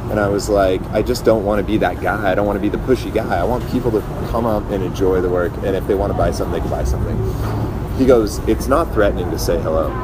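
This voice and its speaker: With an American accent, the speaker goes at a very fast pace with hardly any pauses, amid noticeable background noise and audible room echo. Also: man, fairly low pitch for a man. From Southern California. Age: 30s. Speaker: BMX rider and street vendor. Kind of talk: casual interview.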